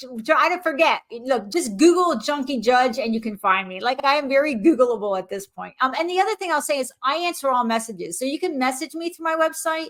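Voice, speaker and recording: With an American accent, this voice moves at a fairly quick pace with hardly any pauses, very wide pitch swings and big jumps in loudness. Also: woman, high pitch for a woman. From US Northeast (central New Jersey). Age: 60s. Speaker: retired judge and author. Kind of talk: podcast interview.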